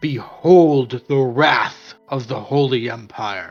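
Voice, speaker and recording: Booming and at a medium pitch, a man performs a put-on character voice at a very slow pace. Faint music plays in the background. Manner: commanding.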